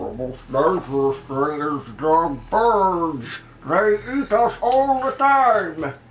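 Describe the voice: A put-on character voice, croaky and at a middle pitch, moves very slowly with very wide pitch swings.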